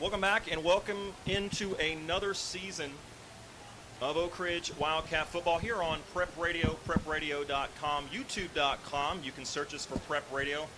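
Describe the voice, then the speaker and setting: With noticeable noise behind him, a man's pitch moves in an ordinary way as he speaks at a moderate pace. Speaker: radio play-by-play announcer. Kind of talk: live sports commentary. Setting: radio broadcast booth. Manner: loud.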